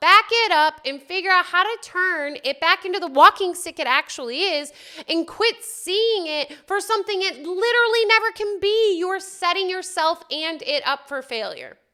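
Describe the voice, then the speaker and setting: Bright and sharp, the raised, projected voice sounds passionate, with lively intonation, a moderate pace and hardly any pauses. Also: woman, extremely high pitch for a woman. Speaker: spiritual self-help video host. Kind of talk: solo spiritual talk to camera. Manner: loud, passionate; conversational, with fillers.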